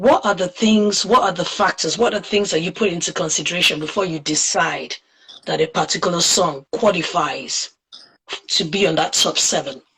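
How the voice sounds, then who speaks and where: A woman has a normal speaking voice with a fairly low pitch. She talks at a moderate pace with ordinary pitch variation. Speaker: podcast host. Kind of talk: interview questions, casual talk.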